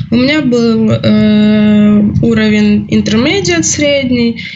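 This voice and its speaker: A woman talks with a fairly high pitch and ordinary pitch variation. Noticeable background noise and audible room echo fill the recording. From Ukraine. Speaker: student. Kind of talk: casual chat.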